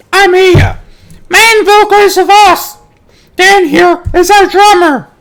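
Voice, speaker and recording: An extremely high, squeaky put-on character voice speaks at a fairly slow pace. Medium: read story. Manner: chatty, casual.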